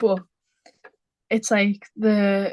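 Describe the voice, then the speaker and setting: A woman with a Liverpool accent speaks at a medium pitch. Her intonation is monotone and flat, and the sound is dry and close with no echo. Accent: Liverpool (Scouse), noticeable. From Liverpool, England. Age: 20s. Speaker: small business owner, football artist. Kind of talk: casual chat.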